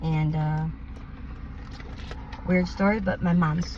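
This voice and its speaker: There is noticeable background noise behind a woman speaking with an American accent. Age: 20s. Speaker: person experiencing homelessness and addiction. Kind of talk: street interview answer.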